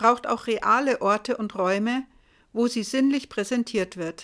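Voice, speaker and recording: On a very clean recording with a silent background, a woman speaks at a very slow pace and high pitch with ordinary pitch variation. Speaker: podcast host. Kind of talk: scripted narration.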